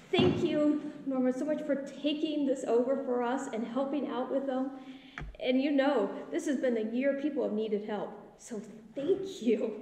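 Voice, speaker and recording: Her high-pitched voice moves at a moderate pace with ordinary pitch variation. The recording has audible room echo and light background noise. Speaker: pastor. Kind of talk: announcements then liturgical reading. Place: church. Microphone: phone near.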